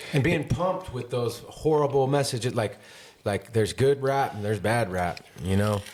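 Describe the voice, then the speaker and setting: An American accent marks this man's unremarkable speaking voice, pitched medium with lively intonation. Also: moderate pace. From northern California, Grass Valley. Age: 40s. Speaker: podcast host. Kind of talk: casual chat.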